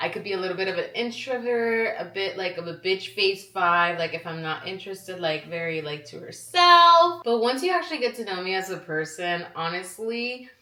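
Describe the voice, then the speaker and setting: Hardly any pauses break the speech, which has ordinary pitch variation against noticeable background noise. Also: woman, medium pitch for a woman, moderate pace. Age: 20s. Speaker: vlogger. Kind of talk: casual chat. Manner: animated.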